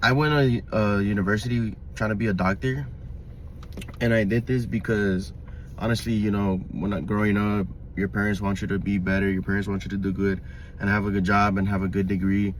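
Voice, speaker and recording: Amid audible room echo, a man with an American accent speaks at a fairly low pitch with ordinary pitch variation and very even loudness. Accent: Mexican American Los Angeles English. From Los Angeles, US. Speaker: vlogger. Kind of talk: personal monologue. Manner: halting, many fillers.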